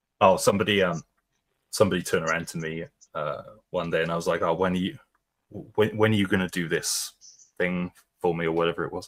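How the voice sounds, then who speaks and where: A man with a British accent, very deep and low in pitch, flat and monotone, very fast yet with long, frequent pauses, in a very clean recording with a silent background. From Britain. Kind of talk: casual chat.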